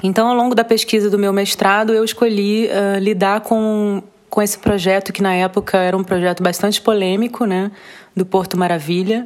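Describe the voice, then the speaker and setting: At a moderate pace, a woman speaks in a monotone, flat intonation at medium pitch. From Rio de Janeiro, Brazil. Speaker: visual artist. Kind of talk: interview. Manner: halting.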